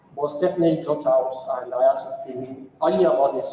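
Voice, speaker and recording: Noticeable background noise and audible room echo fill the recording. A man talks fairly quickly in a high pitch with ordinary pitch variation. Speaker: tech conference speaker. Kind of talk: lightning talk. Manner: fast.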